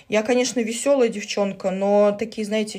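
Against a quiet background, a woman speaks in a fairly high pitch with ordinary pitch variation. Her tone is dark, mellow and somewhat breathy. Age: 30s. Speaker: social media user. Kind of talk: casual vlog monologue. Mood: irritated, defensive about comments. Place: home room. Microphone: phone near.

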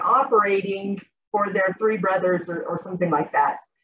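Over light background noise, a woman talks in a somewhat breathy voice. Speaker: academic conference presenter. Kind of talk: academic presentation, casual phrasing. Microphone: video call.

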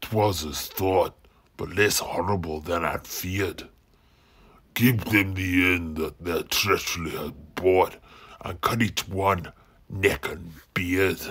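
A man's very deep, low voice with long, frequent pauses. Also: fairly slow pace. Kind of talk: mock-Shakespearean rhymed verse. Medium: audio drama. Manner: menacing, mocking.

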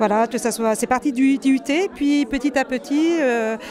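Recorded dry with no echo but with noticeable background noise, a woman speaks with ordinary pitch variation. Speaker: university pedagogy support director. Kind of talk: interview, casual professional chat. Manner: hesitant, many fillers. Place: hall. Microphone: handheld.

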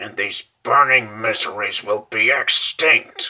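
This is a man. He uses a put-on character voice. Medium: dub. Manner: grave, mournful.

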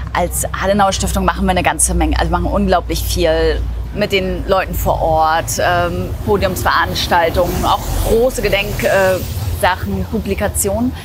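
A woman keeps a moderate pace while noticeable noise fills the background. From East Germany. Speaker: editor. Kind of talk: interview answer. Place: street.

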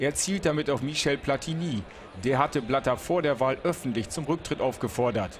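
A man speaks at a moderate pace and medium pitch with ordinary pitch variation, in an unremarkable speaking voice. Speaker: news reporter / narrator. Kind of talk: TV sports news report voice-over.

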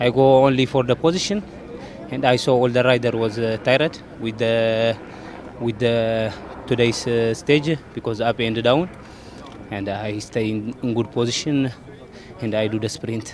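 A man's voice at a moderate pace with fairly even intonation, long and frequent pauses, a dry sound with no echo, and noticeable background noise. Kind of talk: interview answer. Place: street. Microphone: handheld.

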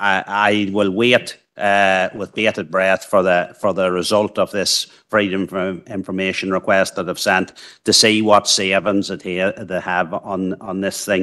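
A man's low-pitched, fairly bright voice at a fairly slow pace, with little pitch movement and few pauses.

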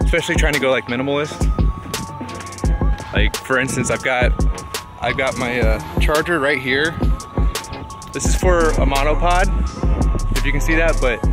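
A man with long, frequent pauses over clear music in the background. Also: moderate pace, dry sound with no echo. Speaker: travel vlogger. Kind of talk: casual vlog chat. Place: open country. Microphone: phone near.

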